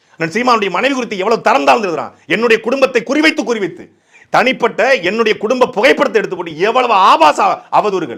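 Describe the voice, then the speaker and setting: A man's high-pitched, bright and sharp voice in an angry tone with lively intonation. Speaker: political speaker. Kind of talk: political speech. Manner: angry, forceful.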